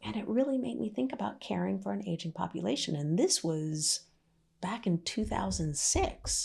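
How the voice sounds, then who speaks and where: Speaking with an American accent, a woman has a very deep, low pitch, a dark, mellow tone and vocal fry. Her pitch swings very widely at a moderate pace. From Maryland, US. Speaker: aging care consultant. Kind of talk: interview.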